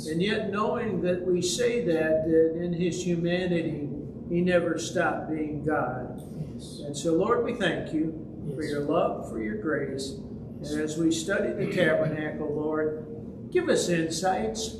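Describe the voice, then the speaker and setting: A man talks at a high pitch, his pitch variation ordinary, while noticeable background noise fills the clip. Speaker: Bible study teacher. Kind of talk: prayer. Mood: calm, reverent. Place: church.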